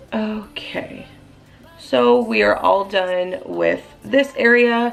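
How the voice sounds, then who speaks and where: A woman talks at a very slow pace, with noticeable background noise around her. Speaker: beauty vlogger. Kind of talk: makeup tutorial. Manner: casual, chatty.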